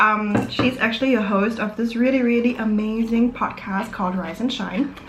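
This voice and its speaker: A woman speaks at a moderate pace with a fairly high pitch and fairly even intonation. Noticeable background noise and audible room echo are present. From Germany, Vietnamese-German family. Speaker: YouTuber. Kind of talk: casual chat over a meal. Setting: home, eating at table on camera. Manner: casual, filler-heavy.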